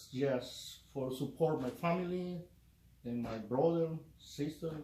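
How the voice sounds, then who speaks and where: A man speaks very slowly with a Spanish accent, his pitch fairly high and his pitch variation ordinary. The tone is dark and mellow, and the room echo is audible. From El Salvador. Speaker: union electrician. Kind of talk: interview. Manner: halting.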